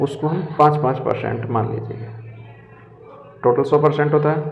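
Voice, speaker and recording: Audible room echo carries a man's voice as he talks at a moderate pace with fairly even intonation. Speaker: reasoning tutor for competitive exams. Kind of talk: tutorial.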